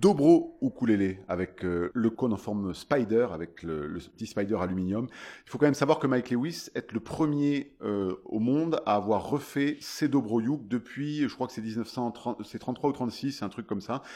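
Over a quiet background, a dark, mellow tone moves at a fairly slow pace with lively intonation. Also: man, medium pitch for a man. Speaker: singer-songwriter and ukulele player. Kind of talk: interview. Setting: festival. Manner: animated.

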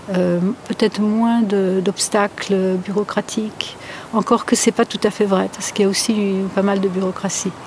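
Amid noticeable background noise, a woman talks at a medium pitch with monotone, flat intonation. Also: moderate pace. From France, Polish family. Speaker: seismologist. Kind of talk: interview. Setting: outdoors in a garden. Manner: hesitant, many fillers.

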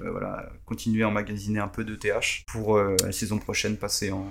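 A man speaking at a fairly slow pace. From Paris. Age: 30s. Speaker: football fantasy expert. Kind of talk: podcast interview.

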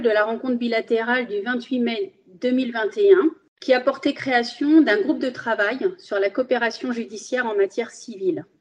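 Speaking with a Spanish accent, a woman uses a high pitch and a fairly slow pace. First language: Spanish (speaking French). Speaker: magistrate. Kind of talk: interview. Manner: formal.

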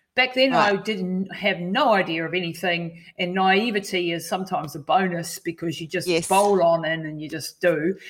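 A woman with a New Zealand accent talks at a moderate pace with hardly any pauses. Her pitch is medium, with ordinary variation. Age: 50s. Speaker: endurance athlete and health coach. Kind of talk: interview.

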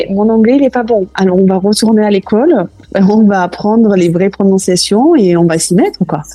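Music plays in the background as a woman speaks at medium pitch with ordinary pitch variation. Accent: Toulouse. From southwest France, Toulouse. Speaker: cooking school founder. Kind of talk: interview.

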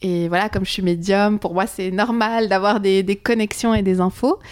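In an unremarkable speaking voice, a woman talks at a fairly slow pace with ordinary pitch variation, on a very clean recording with a silent background. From Switzerland. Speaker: psychic medium and former travel agent. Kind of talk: casual chat.

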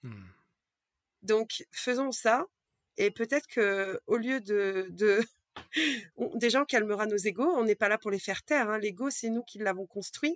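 In a very clean recording with a silent background and a dry, close sound with no echo, a woman speaks at a very slow pace and a fairly high pitch, with ordinary pitch variation and long, frequent pauses. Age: 30s. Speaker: card reader and energy healer. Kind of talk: casual interview chat. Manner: halting.

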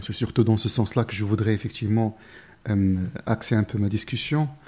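A somewhat breathy man at a medium pitch, fairly quick in pace and fairly even in intonation, on a very clean recording with a silent background. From Morocco, village near Marrakech. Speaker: recruitment firm founder. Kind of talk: interview conversation. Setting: company office.

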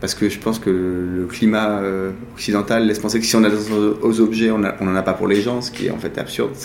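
The speech is monotone and flat in intonation at a fairly quick pace, with audible room echo and noticeable background noise. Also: man, fairly low pitch for a man. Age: 40s. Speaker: art dealer and collector. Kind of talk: interview. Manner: halting.

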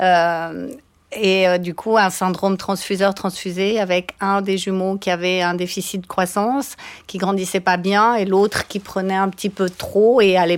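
The pace of this woman's speech is fairly slow. She talks with monotone, flat intonation. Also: medium pitch for a woman. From Switzerland, Valais. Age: 50s. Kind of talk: interview. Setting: studio.

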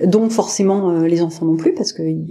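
A woman speaks at a moderate pace. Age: 40s. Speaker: parasurfer, wheelchair user. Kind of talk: interview conversation. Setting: podcast interview. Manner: hesitant, many fillers.

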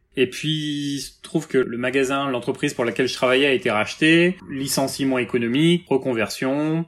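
At a moderate pace, a man talks with hardly any pauses. His pitch is fairly high, with ordinary variation. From Brittany, France (Rennes). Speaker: tea shop owner. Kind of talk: interview. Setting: video call. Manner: halting.

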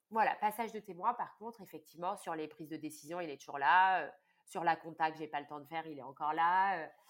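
Her loudness swings widely as a woman speaks with ordinary pitch variation. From southern France, Cannes. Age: 30s. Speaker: tea business founder. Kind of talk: interview conversation. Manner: hesitant with repetitions.

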